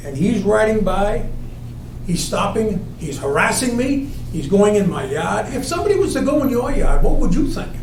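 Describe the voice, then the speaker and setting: A man's high voice swings very widely in pitch at a moderate pace, with noticeable background noise and audible room echo. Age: 70s. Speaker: resident at town meeting. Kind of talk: testimony.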